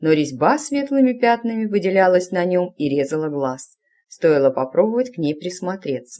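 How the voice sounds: With lively intonation, a natural reading voice comes through against a quiet background.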